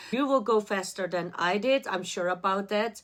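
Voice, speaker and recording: Speaking in a non-native accent, a woman holds a medium pitch. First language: not English. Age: adult. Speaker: art student vlogger. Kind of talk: personal vlog.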